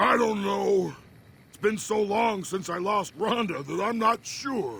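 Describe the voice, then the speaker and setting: Using a put-on character voice, a man talks at a fairly slow pace in a high pitch. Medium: video game.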